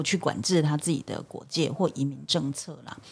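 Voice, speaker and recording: A woman's very deep, low pitch shows ordinary pitch variation as she talks at a moderate pace. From Taiwan. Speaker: lawyer, human rights worker. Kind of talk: casual discussion.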